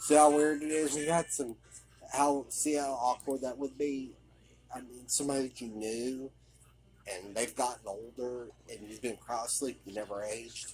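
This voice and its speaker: Mumbling at a moderate pace, a man with a medium pitch and ordinary pitch variation swings widely in loudness. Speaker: video game commentator. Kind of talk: game commentary. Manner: hesitant, mumbling.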